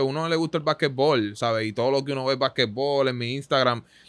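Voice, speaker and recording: In an ordinary speaking voice, a man talks at a medium pitch with fairly even intonation, the sound dry with no echo and the background quiet. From Puerto Rico, Santurce; Puerto Rico. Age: 20s. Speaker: basketball player; guest. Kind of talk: interview. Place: studio. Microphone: studio mic.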